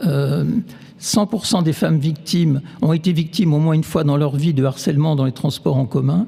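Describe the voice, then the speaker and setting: Over noticeable background noise, a man speaks at a very even loudness. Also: ordinary pitch variation, moderate pace. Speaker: neuroscientist. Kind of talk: lecture. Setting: stage with audience. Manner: halting, many fillers.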